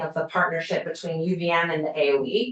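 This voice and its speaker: Noticeable background noise behind a woman's moderate-paced speech. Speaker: university community schools researcher. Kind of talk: legislative committee testimony.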